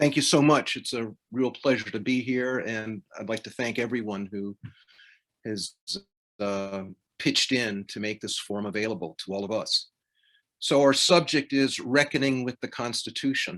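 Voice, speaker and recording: Moderate pace and ordinary pitch variation with an American accent, on a very clean recording with a silent background. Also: man, medium pitch for a man. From US South, South Carolina. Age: 60s. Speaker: law professor. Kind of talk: panel remarks.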